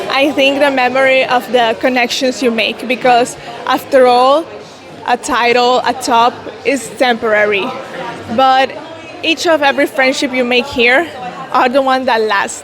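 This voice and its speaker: A woman speaks at a high pitch and a fairly slow pace, with fairly even intonation, very even loudness and long, frequent pauses. The recording has audible room echo and noticeable background noise. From El Salvador. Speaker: beauty pageant contestant. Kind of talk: interview.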